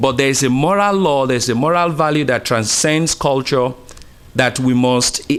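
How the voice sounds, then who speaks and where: A man with an American accent talks at a moderate pace. His medium pitch shows ordinary variation. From Uganda. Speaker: pastor. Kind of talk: public comment at city council meeting.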